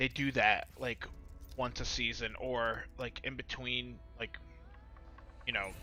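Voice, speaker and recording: Music plays in the background while a man talks at a very slow pace. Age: 30s. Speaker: esports watch party streamer. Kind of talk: casual live stream commentary.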